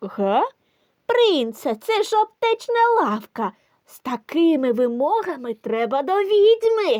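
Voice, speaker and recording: A put-on character voice comes in at a high pitch with very wide pitch swings. The delivery moves at a fairly slow pace. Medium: audio drama.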